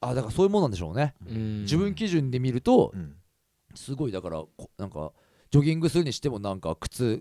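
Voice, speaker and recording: At a very fast pace, a man speaks in a medium pitch with very wide pitch swings, the sound dry and close with no echo. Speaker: podcast host and singer. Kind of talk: casual chat. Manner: loud; animated.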